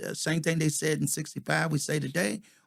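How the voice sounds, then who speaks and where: A man speaks with a plain, everyday voice. His pitch is fairly high, and the recording is very clean with a silent background. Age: 60s. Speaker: podcast host. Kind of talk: casual chat.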